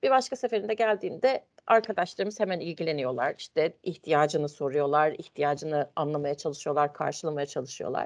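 A woman's very deep, low voice with very wide pitch swings, moving at a fairly quick pace with hardly any pauses. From Turkey, Ankara. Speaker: internal control manager. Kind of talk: interview. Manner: hesitant, many fillers.

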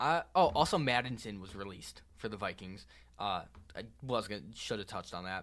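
In a very clean recording with a silent background, a man with a plain, everyday voice and fairly low pitch talks at a fairly quick pace, his loudness swinging widely. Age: young. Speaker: student sports podcast host. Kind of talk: casual chat.

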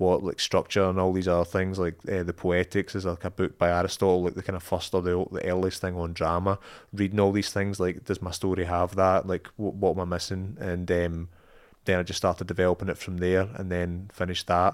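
In a Scottish accent, a man with a very deep, low pitch speaks at a fairly quick pace with monotone, flat intonation, in a very clean recording with a silent background. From Scotland. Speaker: filmmaker. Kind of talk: podcast interview.

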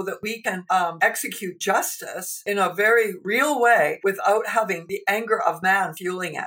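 With a Canadian accent, a woman talks at medium pitch and a moderate pace against noticeable background noise. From Canada. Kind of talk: interview testimony and teaching.

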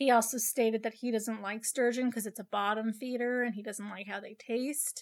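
A woman with an unremarkable speaking voice and a fairly high pitch talks at a moderate pace with hardly any pauses and big swings in loudness. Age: 20s. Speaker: true crime podcast host. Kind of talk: casual true crime narration. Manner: chatty, filler-heavy.

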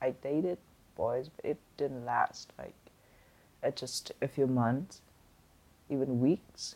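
Speech comes at a very slow pace in a Vietnamese accent, broken by long, frequent pauses. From Vietnam (Hanoi). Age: 20s. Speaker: graphic designer. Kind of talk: interview. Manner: halting.

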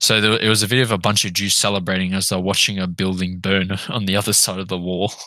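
A man with an Australian accent, very deep and low in pitch, flat and monotone, at a very fast pace with hardly any pauses. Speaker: podcast host. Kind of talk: casual chat. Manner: crude, joking.

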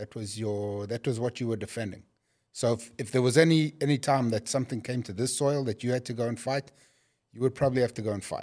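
In a very clean recording with a silent background, a man with a South African accent talks very fast at a medium pitch, with a dark, mellow tone and fairly even intonation. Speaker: company executive. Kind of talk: casual chat.

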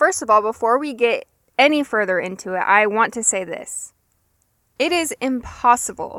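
In a very clean, dry and close recording with no echo and a silent background, a woman with an ordinary speaking voice talks at a moderate pace, fairly high in pitch with ordinary pitch variation. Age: 20s. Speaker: podcast host. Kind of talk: solo podcast monologue. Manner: casual.

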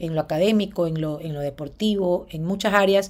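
The pace is fairly quick, with ordinary pitch variation. It is an ordinary speaking voice. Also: woman. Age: 30s. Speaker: former TV presenter and businesswoman. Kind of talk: interview conversation.

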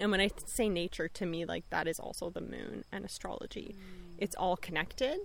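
A woman with a Canadian accent talks at a moderate pace, hardly pausing at all. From Bosnia, raised in Serbia then Canada from age 10. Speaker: astrologer and herbalist. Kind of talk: casual interview chat. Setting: outdoors in a backyard garden.

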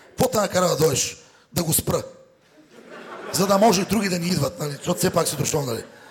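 A man's high-pitched voice at a fairly quick pace, with noticeable noise in the background. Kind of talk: stand-up comedy roast set. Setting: stage with live audience. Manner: sarcastic, teasing.

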